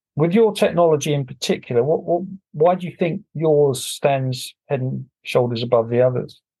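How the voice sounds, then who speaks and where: A somewhat breathy man's voice with a dark, mellow tone, fairly high pitch and ordinary pitch variation, at a moderate pace against a quiet background. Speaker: podcast host. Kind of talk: interview.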